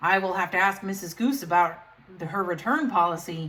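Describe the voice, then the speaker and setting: In a put-on character voice, a woman sounds gruff at a medium pitch and a fairly quick pace. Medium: read story. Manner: gruff, stern.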